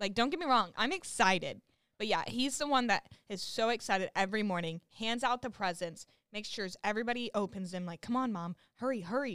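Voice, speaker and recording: Speaking with an American accent at a fairly quick pace, a woman has an ordinary speaking voice, fairly high in pitch, with lively intonation, on a very clean recording with a silent background and a dry, close sound with no echo. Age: 20s. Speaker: college student. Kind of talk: casual chat.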